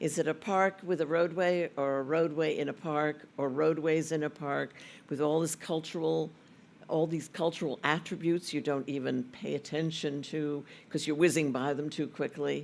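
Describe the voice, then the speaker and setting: The speech moves at a moderate pace with fairly even intonation on a very clean recording with a silent background. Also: man, fairly high pitch for a man. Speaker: session moderator. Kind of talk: moderating a panel.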